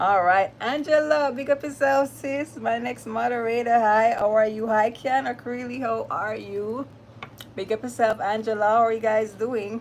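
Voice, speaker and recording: This woman has a Jamaican accent and a fairly high pitch. Her pitch varies in an ordinary way. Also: moderate pace. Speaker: live streamer. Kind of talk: live stream chat with viewers. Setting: livestream. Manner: animated.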